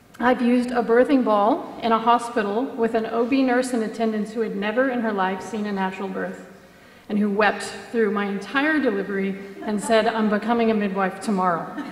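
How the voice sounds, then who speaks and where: A woman with an American accent talks at a fairly quick pace in a fairly high pitch. Noticeable background noise and audible room echo come through. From United States. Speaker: mother telling birth stories. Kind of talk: conference talk. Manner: animated.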